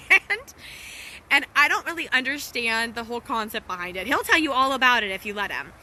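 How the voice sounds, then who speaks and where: A woman with a high pitch speaks in an animated tone with lively intonation amid noticeable background noise. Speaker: wellness coach and social media host. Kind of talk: casual storytelling livestream. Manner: animated, laughing; lowered voice briefly.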